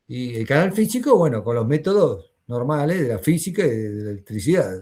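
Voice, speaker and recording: Against a quiet background, a man's somewhat breathy, dark and mellow voice at a moderate pace, with very wide pitch swings. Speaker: university lecturer. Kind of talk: lecture.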